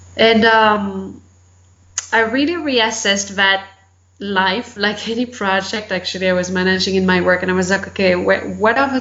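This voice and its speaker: With a French accent, a woman speaks at a moderate pace and medium pitch, her intonation fairly even, amid audible room echo and noticeable background noise. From France. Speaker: life and business coach. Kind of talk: interview.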